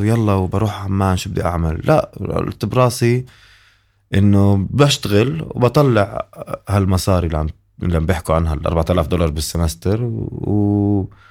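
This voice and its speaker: On a very clean recording with a silent background, a man with a plain, everyday voice speaks at a fairly slow pace, with a fairly low pitch and lively intonation. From Jordan. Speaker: comedian and musician. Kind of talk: casual chat.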